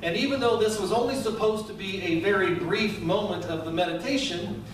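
A man speaks at a fairly quick pace. Audible room echo and noticeable background noise surround him. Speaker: pastor. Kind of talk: sermon. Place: church.

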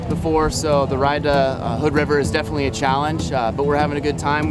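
A man talks at a very fast pace with ordinary pitch variation, in a dry sound with no echo. Loud background noise is present. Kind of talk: casual vlog chat. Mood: upbeat. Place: open country. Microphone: phone near.

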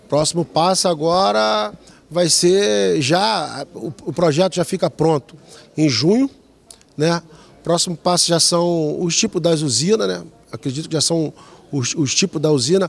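A man speaks fairly slowly, leaving long, frequent pauses. His pitch is fairly high, and his intonation is lively. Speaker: head of a metropolitan planning institute. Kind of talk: interview. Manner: halting. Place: hall. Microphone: handheld.

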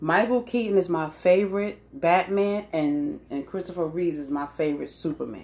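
A woman with a fairly low voice speaks at a moderate pace, her pitch swinging very widely. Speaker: vlogger. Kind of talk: casual vlog chat. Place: home room. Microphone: phone near.

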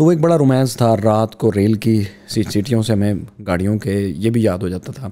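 This man's voice is fairly low, moving at a moderate speed with normal rises and falls in pitch. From Pakistan, Punjab (Okara district); Punjab, Pakistan. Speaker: YouTube educator and storyteller; podcast guest. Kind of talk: casual interview conversation. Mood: relaxed, nostalgic. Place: studio. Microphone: studio mic.

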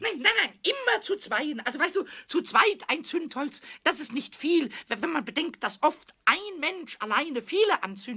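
In a put-on character voice, a man speaks at a moderate pace with an extremely high pitch. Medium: audio drama. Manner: excited, cheeky, stuttering.

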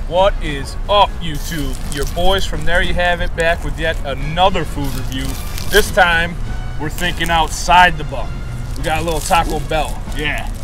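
Over clear background music, a man speaks at a fairly slow pace, and the sound is dry with no echo. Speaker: food review host. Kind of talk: casual vlog chat. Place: street. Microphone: phone near.

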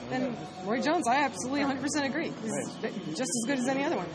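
A woman speaks with crowd noise in the background. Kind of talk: interview answer. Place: gym.

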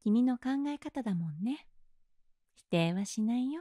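Speaking at a fairly slow pace, a woman uses a high pitch with very wide pitch swings and a dark, mellow tone. The sound is dry and close with no echo. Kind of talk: ASMR role-play, whispered comforting girlfriend-style sleep aid with guided relaxation. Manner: soft, gentle, soothing whisper with a slow, coaxing pace; affectionate and teasing, with occasional light laughs.

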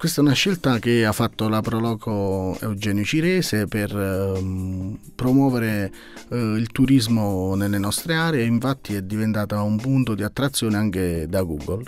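A man's fairly low, slightly mellow voice with lively intonation, a fairly slow pace and few pauses

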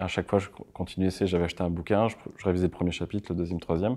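Against a quiet background, a man talks very fast in a very deep, low pitch with monotone, flat intonation. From France, Landes (Mont-de-Marsan); Landes, France. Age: 30s. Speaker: motion designer and production company owner; interview guest. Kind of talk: interview; interview answer. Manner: casual, halting. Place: studio.

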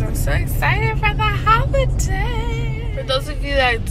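A woman talks at a very slow pace over clear background music. The sound is dry, with no echo. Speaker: vlogger. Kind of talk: casual vlog chat. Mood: excited, upbeat. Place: car. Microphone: phone near.

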